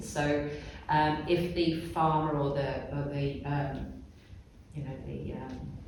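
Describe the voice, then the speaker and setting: A man speaks with a fairly high pitch and ordinary pitch variation. Noticeable background noise and audible room echo fill the recording. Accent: British. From Britain. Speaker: textile artist. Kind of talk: artist talk. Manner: hesitant, many fillers.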